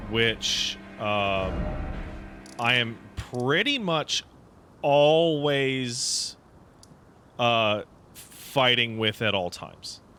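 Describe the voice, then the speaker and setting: A man talks very slowly, leaving long, frequent pauses, with music in the background. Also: medium pitch for a man, ordinary pitch variation. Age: 30s. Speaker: video game streamer. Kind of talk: casual livestream chat. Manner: halting, with repeated words.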